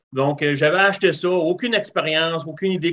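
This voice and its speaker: Someone with a Quebec accent speaks at a moderate pace in a bright, sharp tone. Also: man. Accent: Québécois French. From Quebec (Rivière-du-Loup). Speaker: barbecue enthusiast. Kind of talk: casual interview. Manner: halting.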